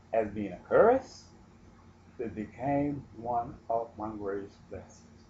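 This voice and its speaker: The voice is somewhat breathy with a dark, mellow tone and fairly even intonation. It moves at a very slow pace with big swings in loudness. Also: man, medium pitch for a man. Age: 60s. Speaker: self-styled prophet and retired railroad worker. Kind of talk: religious monologue with personal testimony.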